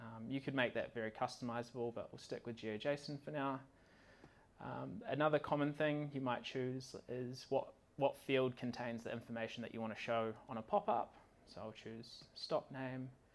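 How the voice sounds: Speaking at a moderate pace, a man keeps his medium-pitched voice fairly even in intonation.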